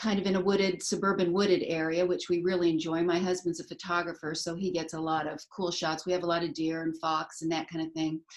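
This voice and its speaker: Noticeable background noise sits behind a woman speaking at a very fast pace with hardly any pauses. Her fairly low voice stays monotone and flat. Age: 60s. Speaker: brand ambassador, retired teacher and artist. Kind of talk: self-introduction in live chat.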